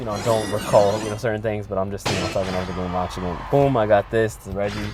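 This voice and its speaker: A man speaks with an American accent over background music, with audible echo from the room. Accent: New York accent, comes and goes. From New York. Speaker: mobile gaming commentator. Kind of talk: gameplay voice-over commentary. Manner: halting, many fillers and repeated words.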